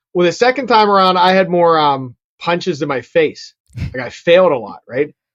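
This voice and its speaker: A man with a Pittsburgh accent speaks at a high pitch. The sound is dry and close, with no echo. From Pittsburgh, Pennsylvania (Bethel Park). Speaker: real estate investor and digital marketing agency founder. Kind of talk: interview conversation. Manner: casual, filler-heavy.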